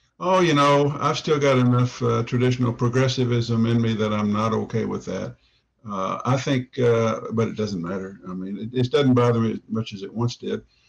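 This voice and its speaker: His pace is moderate and his pitch sits in the middle range. The pitch moves in a normal way as this man talks. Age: 60s. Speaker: newspaper columnist. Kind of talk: interview. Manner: halting, many fillers.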